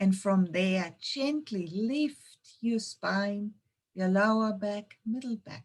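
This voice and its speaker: A woman with a slight German accent speaks very slowly in a calm, somewhat breathy tone. Her pitch is medium, with ordinary pitch variation. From Germany, Munich. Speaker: intuition trainer and yoga teacher. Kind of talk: webinar presentation; guided meditation. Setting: online webinar. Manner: slow, calm.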